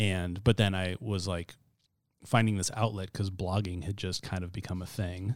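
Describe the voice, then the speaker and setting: In a very clean recording with a silent background, a man with an American accent talks at a moderate pace with a very deep, low pitch and monotone, flat intonation. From US Pacific Northwest, Spokane County, Washington. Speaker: writer and podcast host. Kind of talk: casual interview.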